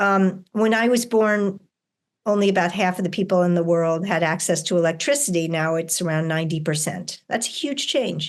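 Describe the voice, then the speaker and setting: In a plain, everyday voice at medium pitch, a woman speaks at a moderate pace with very even loudness and ordinary pitch variation against a quiet background. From US, New York City. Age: 60s. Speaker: author and educator. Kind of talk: interview conversation.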